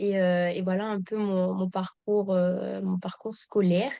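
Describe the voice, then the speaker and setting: Her tone dark and mellow, a woman speaks at a medium pitch and a fairly slow pace with monotone, flat intonation. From Guadeloupe. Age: 20s. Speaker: agronomist and farm founder. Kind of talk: podcast interview. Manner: hesitant, many fillers.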